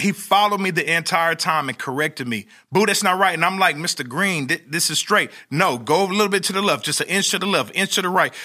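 In a raised, projected voice with a bright, sharp tone, a man with an American accent speaks very fast and animated at a high pitch, on a very clean recording with a silent background. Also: ordinary pitch variation. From Oklahoma. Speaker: motivational speaker and stadium hype man. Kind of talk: interview.

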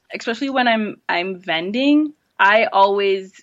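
An unremarkable speaking voice from a woman with an American accent, fairly slow in pace, with ordinary pitch variation. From US Virgin Islands, St. Croix. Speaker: online shop founder. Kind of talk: interview.

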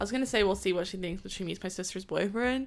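Heard over a silent background in a very clean recording, a woman's medium-pitched voice carries vocal fry and fairly even intonation. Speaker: podcast co-host. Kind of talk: casual chat.

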